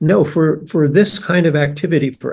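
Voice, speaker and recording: A man speaks at a moderate pace in a fairly high voice. Vocal fry runs through his speech. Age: 80s+. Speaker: biology professor. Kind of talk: podcast interview.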